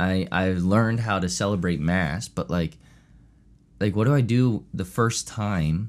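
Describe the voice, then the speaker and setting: An unremarkable speaking voice with an American accent and lively intonation comes through on a very clean recording with a silent background. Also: man. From US, Chester County, Pennsylvania. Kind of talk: casual interview.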